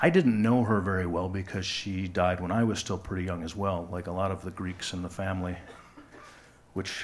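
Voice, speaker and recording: In an American accent, a man speaks at a very deep, low pitch in a flat monotone. His pace is moderate, and audible room echo can be heard. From West Michigan, US. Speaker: live storyteller. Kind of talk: personal story reading on stage. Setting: stage with audience.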